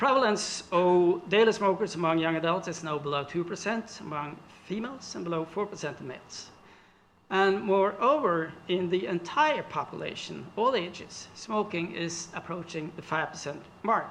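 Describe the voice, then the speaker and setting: Moderately paced, high-pitched speech from a man with ordinary pitch variation and audible room echo. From Norway. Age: 60s. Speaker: researcher. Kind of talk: lecture. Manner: halting.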